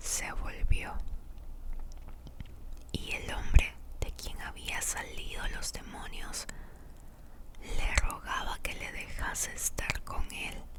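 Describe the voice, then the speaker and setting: A woman whispers at a very slow pace, with long, frequent pauses. Her loudness swings widely over noticeable background noise. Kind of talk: whispered Bible reading. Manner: whispered, soft.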